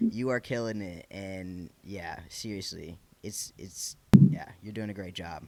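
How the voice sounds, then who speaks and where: A man's fairly low voice with a Michigan accent, fairly slow in pace, with ordinary pitch variation. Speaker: podcast host. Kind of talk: casual interview chat. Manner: animated.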